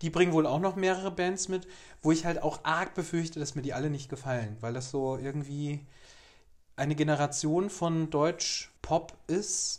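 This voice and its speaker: A man with a normal speaking voice talks at a fairly high pitch and a moderate pace, with ordinary pitch variation. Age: 30s. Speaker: podcast co-host. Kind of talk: casual chat.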